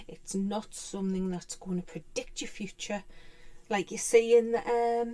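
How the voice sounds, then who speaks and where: A woman at a medium pitch, dark and mellow in tone, with fairly even intonation and a fairly slow pace. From UK. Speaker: tarot teacher. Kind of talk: tutorial. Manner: halting.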